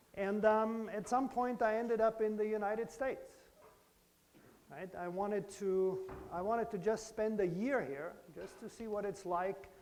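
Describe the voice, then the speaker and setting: Over audible room echo, a man speaks at a high pitch with fairly even intonation. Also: moderate pace, big swings in loudness. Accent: German. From Germany, Bavaria. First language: German. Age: 50s. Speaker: professor. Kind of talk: lecture. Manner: conversational, engaging with children.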